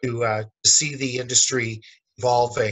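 Against a quiet background, a man speaks with fairly even intonation. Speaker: guest. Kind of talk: interview answer. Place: office. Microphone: webcam.

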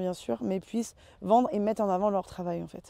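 A woman with a dark, mellow tone speaks in a dry sound with no echo against a quiet background. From western France, Loire-Atlantique. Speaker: winemaker. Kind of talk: interview. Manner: hesitant with many fillers. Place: open country.

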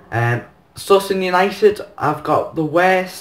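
A man talks with ordinary pitch variation. The background stays quiet. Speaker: football fan vlogger. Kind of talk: casual vlog chat. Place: home room. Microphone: phone near.

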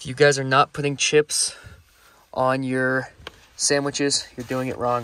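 A man is speaking. The sound is dry with no echo. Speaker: fishing vlogger. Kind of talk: casual vlog chat. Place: car. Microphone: phone near.

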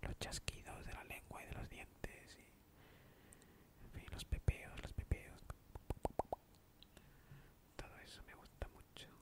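Against loud background noise, a soft-spoken man talks at a very slow pace with long, frequent pauses. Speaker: ASMR creator. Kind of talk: soft-spoken ASMR Q&A chat. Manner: soft, close-mic ASMR speaking. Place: home room. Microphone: studio mic.

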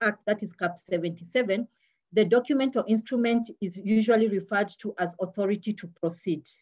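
A woman speaks at a moderate pace with a medium pitch. Her voice is somewhat breathy, with ordinary pitch variation. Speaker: public prosecutor. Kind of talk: webinar presentation. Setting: video call.

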